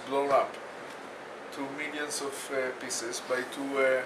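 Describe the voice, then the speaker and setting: A man with an Israeli accent speaks fairly slowly at a fairly high pitch. Noticeable background noise and audible room echo come through. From Israel, Jerusalem. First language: Hebrew. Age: 60s. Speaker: bereaved parent, peace activist. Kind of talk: testimony.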